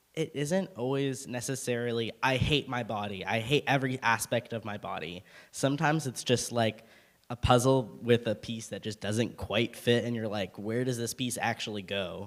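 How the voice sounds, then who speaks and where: At a moderate pace, a plain, everyday voice shows ordinary pitch variation. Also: man, medium pitch for a man. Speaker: panelist. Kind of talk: panel discussion.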